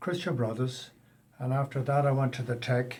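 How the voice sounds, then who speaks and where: In an American accent, a somewhat breathy man speaks at a moderate pace with fairly even intonation. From Ireland, Westport, County Mayo. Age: 70s. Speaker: emigrant carpenter. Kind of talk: interview. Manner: halting.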